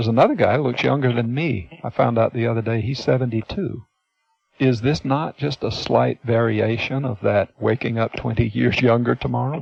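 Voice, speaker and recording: A man with an unremarkable speaking voice. His pitch sits in the medium range. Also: ordinary pitch variation, moderate pace. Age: 60s. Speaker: hypnotist and seminar presenter. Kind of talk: teleseminar talk.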